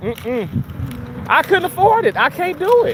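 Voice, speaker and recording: With an American accent, a man speaks in an animated tone over noticeable background noise. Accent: Southern accent that comes and goes. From Mississippi, US South. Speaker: live streamer. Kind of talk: casual livestream chat. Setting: outdoors, walking to the park.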